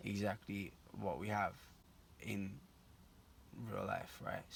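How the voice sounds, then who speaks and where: A man's fairly low voice with vocal fry at a moderate pace. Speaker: vlogger pitching an app idea. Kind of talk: casual vlog monologue. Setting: outdoors at night by a barn. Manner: halting, many fillers.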